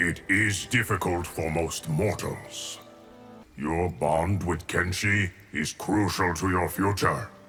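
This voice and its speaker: In a put-on character voice at a fairly slow pace, the speaker talks over clear music in the background. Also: man, very deep, low pitch for a man, fairly even intonation. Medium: video game. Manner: calm, measured.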